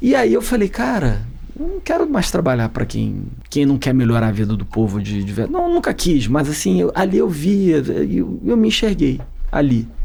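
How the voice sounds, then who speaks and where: A man talks at a moderate pace, with noticeable background noise and audible room echo. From Rio de Janeiro, suburbs. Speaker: political campaign strategist. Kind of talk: interview conversation. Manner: halting.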